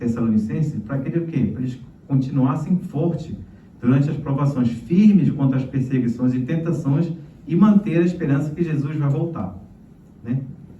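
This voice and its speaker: Audible room echo surrounds a man speaking at a moderate pace with a fairly high pitch. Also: long, frequent pauses. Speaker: pastor. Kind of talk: sermon.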